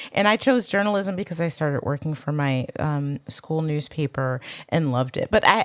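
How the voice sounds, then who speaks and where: A woman's very deep, low-pitched voice with lively intonation, in an American accent. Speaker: legal commentator and podcast co-host. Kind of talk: casual panel chat.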